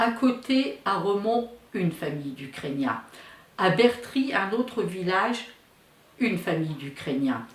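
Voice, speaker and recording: With audible room echo and noticeable background noise, a woman talks at a fairly slow pace at a medium pitch, her voice making very wide pitch swings. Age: 70s. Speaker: daughter of Ukrainian immigrants, witness. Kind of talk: testimony. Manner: hesitant, with fillers.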